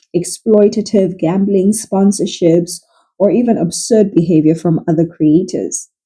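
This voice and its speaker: Somewhat breathy, with a dark, mellow tone, a woman talks at a fairly slow pace with ordinary pitch variation. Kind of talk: casual biography commentary narration.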